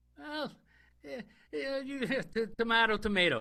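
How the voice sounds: A man's put-on character voice, extremely high-pitched and bright and sharp, with vocal fry, lively intonation and a fairly slow pace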